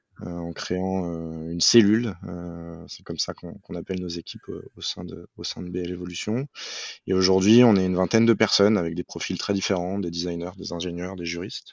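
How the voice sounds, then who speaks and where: Very deep, low male voice, fairly even in intonation, at a moderate pace with big swings in loudness. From Paris suburbs, France. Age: 30s. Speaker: climate and mobility consultant, engineer. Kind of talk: podcast interview.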